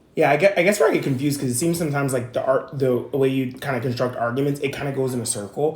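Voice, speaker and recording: A man's fairly high voice at a very fast clip, ordinary pitch movement, noticeable background noise behind him. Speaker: channel owner discussing coming out. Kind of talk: casual chat.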